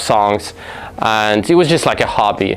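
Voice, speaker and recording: A speaker with a non-native accent talks over noticeable background noise. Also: man. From Russia. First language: Russian. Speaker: music artist and producer. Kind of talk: interview monologue. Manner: halting, many fillers.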